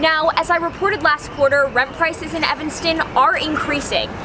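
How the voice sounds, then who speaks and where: Fairly quick speech with clear background noise behind it. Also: woman. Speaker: student news reporter. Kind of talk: TV news report.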